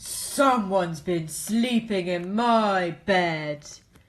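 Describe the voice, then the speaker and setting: A female-sounding, put-on character voice at a middle pitch and a very slow pace. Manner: indignant.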